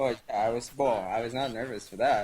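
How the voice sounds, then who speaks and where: A man speaks with a Spanish accent. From Venezuela. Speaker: online gaming community member. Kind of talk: casual interview chat.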